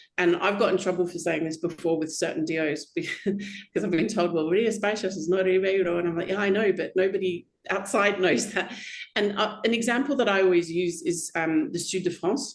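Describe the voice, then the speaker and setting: A woman with an Australian accent speaks at a medium pitch and fairly quick pace, with ordinary pitch variation. Noticeable background noise is present. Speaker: wine critic. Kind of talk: casual chat.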